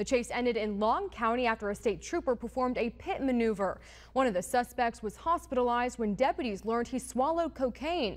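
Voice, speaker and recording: A woman at a high pitch, lively in intonation with hardly any pauses, against a quiet background. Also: fairly quick pace. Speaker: TV news anchor and reporter. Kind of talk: studio news anchor read.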